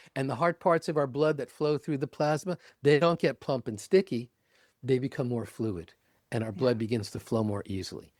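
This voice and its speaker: In a very clean recording with a silent background, a man with a medium-pitched voice speaks at a fairly quick pace with lively intonation. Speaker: meditation teacher. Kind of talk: interview answer.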